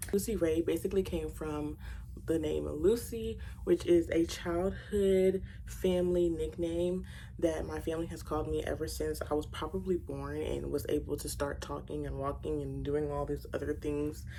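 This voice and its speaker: A woman talks at a moderate pace in an American accent. The room echo is audible. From Louisiana, Baton Rouge. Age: 20s. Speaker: beauty YouTuber. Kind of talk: makeup tutorial with casual Q&A chat. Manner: chatty, conversational.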